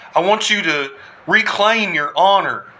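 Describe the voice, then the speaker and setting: A man with an American accent speaks at a fairly slow pace. His pitch variation is ordinary, with noticeable background noise behind him. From US South. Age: 40s. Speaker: army combat veteran. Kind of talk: political address to camera. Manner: impassioned.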